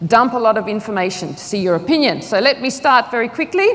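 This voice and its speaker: A woman's fairly quick speech in an Australian accent, with noticeable background noise. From Australia, outback. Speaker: agile consultant, conference speaker. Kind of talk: conference talk. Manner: fast.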